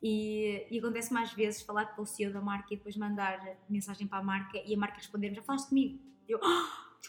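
A woman at a medium pitch talks at a very fast pace amid noticeable background noise. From northern Portugal, Lousada. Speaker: reporter. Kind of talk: casual chat. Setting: taproom. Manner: animated.

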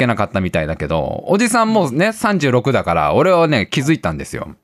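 With vocal fry and an animated tone, a man at a fairly high pitch speaks at a moderate pace on a very clean recording with a silent background. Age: 30s. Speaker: radio show host. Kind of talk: casual chat. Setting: live stream broadcast.

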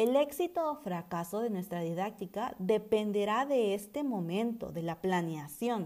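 At a fairly slow pace and with hardly any pauses, a woman of medium pitch speaks in a dark, mellow tone with lively intonation. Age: 20s. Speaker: preschool teacher. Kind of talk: scripted narration. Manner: formal.

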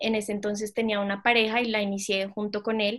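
A woman's fairly high voice comes through over a quiet background. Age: 20s. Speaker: fashion design student and entrepreneur. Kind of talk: interview.

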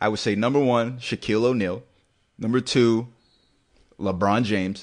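A man's normal speaking voice, medium in pitch, at a moderate pace with ordinary pitch variation against a quiet background. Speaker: podcast co-host. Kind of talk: angry comedic rant, scathing mock-outrage about a player's looks. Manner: loud, fired-up, exaggerated and sarcastic.

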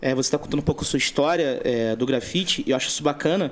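Moving at a very fast pace, a man's speech shows ordinary pitch variation. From Brazil, São Gonçalo (Rio de Janeiro state). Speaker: podcast host. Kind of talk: casual chat.

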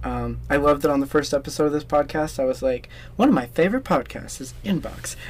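A man at a moderate pace. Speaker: podcast host. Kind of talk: casual interview chat. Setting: recording in a closet.

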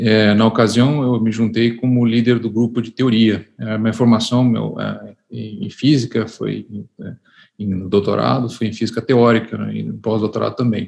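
At a fairly slow pace, a man speaks with monotone, flat intonation. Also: medium pitch for a man. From Brazil, Curitiba, Paraná. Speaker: physicist and laboratory director. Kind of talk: interview. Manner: hesitant, many fillers.

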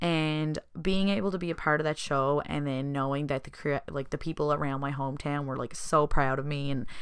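Speaking fairly quickly with a Newfoundland accent, a woman has a very deep, low pitch and ordinary pitch variation. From Newfoundland, Southern Shore. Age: 20s. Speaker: podcast host and small business owner. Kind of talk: solo podcast monologue. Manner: casual, chatty with fillers.

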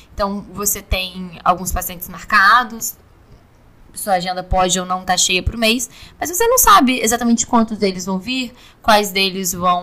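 Medium pitch from a woman, long and frequent pauses, ordinary pitch variation, and a fairly slow pace. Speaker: oral surgery resident. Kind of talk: interview.

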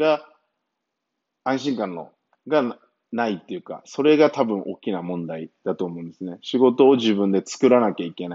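A man speaks with very wide pitch swings. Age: 30s. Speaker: personal trainer and training coach. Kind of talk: solo podcast monologue. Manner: many fillers and hesitations.

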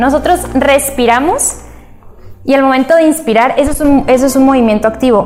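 With music in the background, a high-pitched woman speaks at a moderate pace with ordinary pitch variation and very even loudness. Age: 20s. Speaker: medical intern. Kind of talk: talk.

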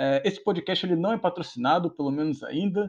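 A man's voice shows ordinary pitch variation, set against a quiet background. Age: 20s. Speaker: podcast host, sim racer. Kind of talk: casual interview. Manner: halting, many fillers.

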